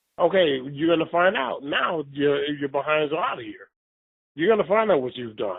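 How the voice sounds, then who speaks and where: In an American accent, a man with a fairly high pitch speaks at a moderate pace with lively intonation. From New York. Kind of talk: casual chat. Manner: animated.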